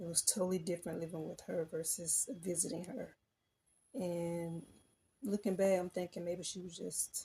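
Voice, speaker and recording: A woman with an American accent speaks at a fairly low pitch and a moderate pace. Her tone is dark, mellow and somewhat breathy. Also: fairly even intonation. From US South, rural. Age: adult. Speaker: personal storyteller. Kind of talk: personal testimony. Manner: halting.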